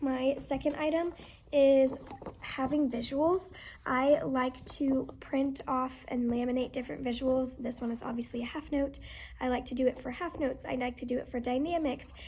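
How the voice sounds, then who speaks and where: A soft-spoken woman with a high pitch and fairly even intonation. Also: moderate pace. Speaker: music teacher. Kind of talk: tutorial. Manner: casual.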